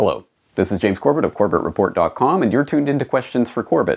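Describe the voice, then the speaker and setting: This is a man speaking. He has a Canadian accent. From Canada. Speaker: independent journalist and web host; independent journalist, web host. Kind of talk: scripted monologue to camera. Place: home room. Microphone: studio mic.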